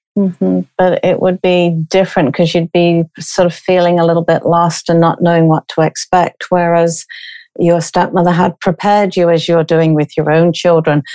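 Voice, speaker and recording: A woman with a British accent speaks at a moderate pace in a fairly low, dark, mellow voice, her intonation monotone and flat, her loudness very even, and the sound dry and close with no echo. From Britain. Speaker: grief coach and podcast host. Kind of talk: interview.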